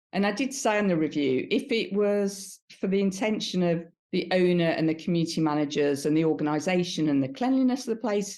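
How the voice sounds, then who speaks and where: A woman with a Birmingham accent, medium-pitched and dark, mellow in tone, with lively intonation, very even loudness, a fairly quick pace and hardly any pauses. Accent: Brummie. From Birmingham, England. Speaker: B2B marketer. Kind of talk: interview answer.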